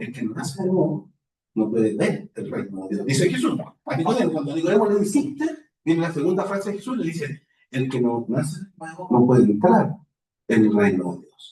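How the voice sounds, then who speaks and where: This man talks at a fairly quick pace with a fairly high pitch. His pitch swings very widely, and his loudness rises and falls a lot. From Chile, Santiago. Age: old. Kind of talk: spiritual talk.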